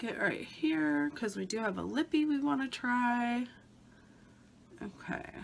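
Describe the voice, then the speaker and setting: A high-pitched woman's voice with very wide pitch swings, fairly slow and broken by long, frequent pauses, over noticeable background noise. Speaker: beauty vlogger. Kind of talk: casual talk to camera.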